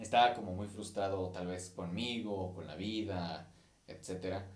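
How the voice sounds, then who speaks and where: Audible room echo surrounds a voice in a Mexican accent. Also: man. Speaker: podcast host and musician. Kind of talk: casual monologue. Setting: recording on camera. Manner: halting.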